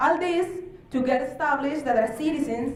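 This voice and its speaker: Against noticeable background noise and audible room echo, a woman with a non-native accent speaks in a high voice with ordinary pitch variation. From Mexico, Baja California. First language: Spanish. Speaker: human rights official. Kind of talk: conference presentation. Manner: halting.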